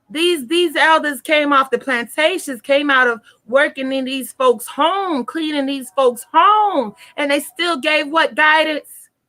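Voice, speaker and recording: Raised, projected voice of a woman, high-pitched, bright and sharp, animated in tone, at a fairly slow pace with ordinary pitch variation. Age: 20s. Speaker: tarot reader. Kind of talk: live stream talk.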